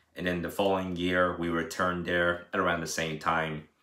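A man with a very deep, low pitch and a bright, sharp tone talks in a monotone, flat intonation, with audible room echo and a quiet background. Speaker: daily vlogger. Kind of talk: casual vlog chat. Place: home room. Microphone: phone near.

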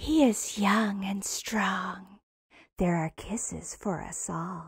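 In a raspy put-on character voice, a female-sounding speaker at medium pitch for a woman talks at a very slow pace. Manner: coquettish, mocking, teasing.

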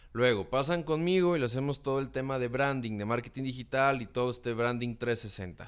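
Against a quiet background, a man with a Mexican accent talks at a moderate pace with ordinary pitch variation. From Mexico. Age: 30s. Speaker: communication consultant and content creator; content creator. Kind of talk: interview. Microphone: studio mic.

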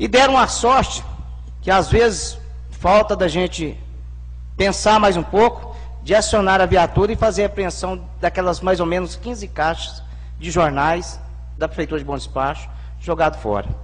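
Long, frequent pauses break up speech that otherwise moves at a moderate pace. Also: man. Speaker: city councillor. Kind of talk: heated debate. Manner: animated, plain-spoken. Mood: firm, indignant. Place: hall. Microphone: podium.

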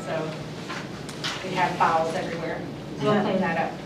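The voice carries audible room echo against loud background noise. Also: woman. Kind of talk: meeting business talk. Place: meeting room. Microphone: camera far.

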